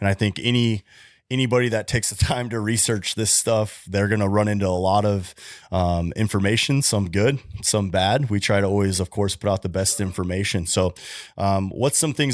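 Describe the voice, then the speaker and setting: In a very clean recording with a silent background, a man with an unremarkable speaking voice and a fairly low pitch speaks at a moderate pace with fairly even intonation. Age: 30s. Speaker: podcast host and patient. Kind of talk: casual interview.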